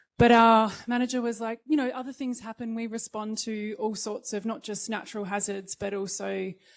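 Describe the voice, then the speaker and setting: Speaking with an Australian accent, a woman keeps a moderate pace, a fairly high pitch and monotone, flat intonation, with hardly any pauses. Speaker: disaster management professional, panelist. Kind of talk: panel presentation. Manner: hesitant, many fillers.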